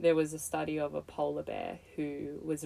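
There is an Australian accent. It belongs to a woman. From Australia, Melbourne. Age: 20s. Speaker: artist and yoga teacher. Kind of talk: casual chat.

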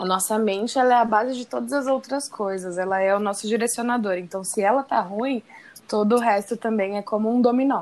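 Fairly high in pitch with ordinary pitch variation, a woman has an unremarkable speaking voice and talks at a fairly quick pace. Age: 20s. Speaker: guest, friend and former coworker of host. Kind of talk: casual chat.

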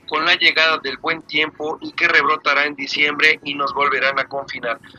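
Man with a fairly high pitch, moderate pace, and noticeable background noise. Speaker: online radio host. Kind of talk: live talk show.

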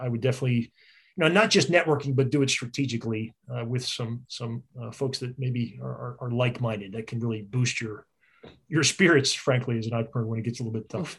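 His voice comes out somewhat breathy. The man rushes along at a very fast pace. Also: medium pitch for a man, ordinary pitch variation. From US Northeast (Philadelphia suburbs). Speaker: business consultant. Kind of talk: casual interview.

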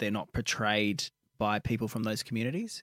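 With a plain, everyday voice, a man speaks at a moderate pace and ordinary pitch variation, in a dry, close sound with no echo on a very clean recording with a silent background. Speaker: radio co-host. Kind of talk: casual banter, radio show. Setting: radio studio. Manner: sarcastic, chatty.

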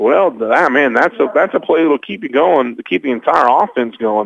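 With lively intonation, a man in an American accent talks in an unremarkable speaking voice. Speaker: radio play-by-play announcer. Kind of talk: live sports commentary, play-by-play. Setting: broadcast booth, press box at stadium.

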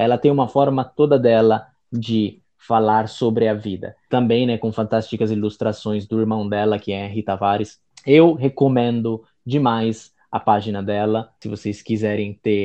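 At a fairly slow pace, a man with a plain, everyday voice talks at medium pitch with fairly even intonation. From Italy. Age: 20s. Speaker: Italian teacher and writer. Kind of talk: casual chat.

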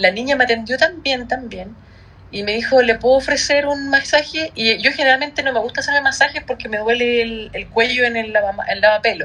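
The speaker has a Chilean accent and ordinary pitch variation. The pace is fairly quick. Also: woman, high pitch for a woman. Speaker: podcast co-host. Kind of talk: casual chat.

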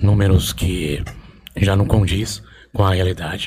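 A man speaks at a very slow pace with a very deep, low pitch. His voice is somewhat breathy, and his intonation is fairly even. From Brazil, Osasco (São Paulo). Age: 40s. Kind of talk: casual interview.

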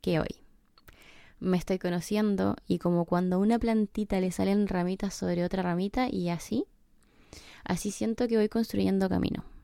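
A dark, mellow tone with a Chilean accent, at a moderate pace, on a very clean recording with a silent background. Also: woman. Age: 20s. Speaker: podcaster. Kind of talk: personal podcast monologue.

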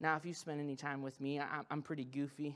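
On a very clean recording with a silent background, a man talks at a very fast pace in a fairly high pitch. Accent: American. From US Midwest (Missouri, Ozarks). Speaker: pastor. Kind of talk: sermon. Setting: stage with audience. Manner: animated.

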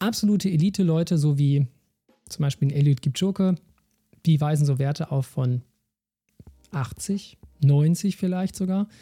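Somewhat breathy and dark, mellow in tone, a man's fairly high voice moves at a moderate pace with ordinary pitch variation in a dry, close sound with no echo. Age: 30s. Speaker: sports scientist podcast host. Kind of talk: solo educational podcast.

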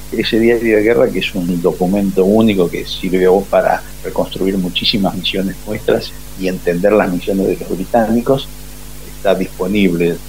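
Male speech, moderately paced, over background music. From Argentina, Buenos Aires area. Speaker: retired air force officer, war veteran. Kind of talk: interview testimony.

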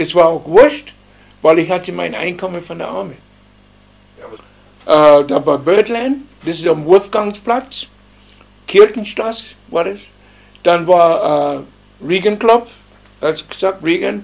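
At a very slow pace, the speaker uses lively intonation, big swings in loudness, and long, frequent pauses. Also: man, high pitch for a man. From US South, Alabama. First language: English (speaking German). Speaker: musician. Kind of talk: interview. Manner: halting.

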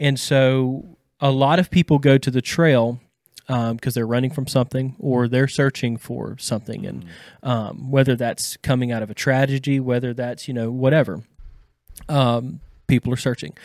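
A man speaks with an East Texas accent. The recording is very clean, with a silent background. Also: medium pitch for a man, fairly even intonation, moderate pace. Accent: East Texas Southern US. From Deep East Texas. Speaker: counseling intern. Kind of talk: casual chat. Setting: studio.

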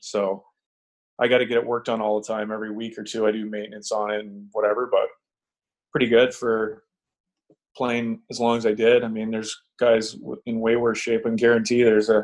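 This man's tone is slightly mellow. His pitch shows little movement. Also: fairly low pitch for a man, moderate pace.

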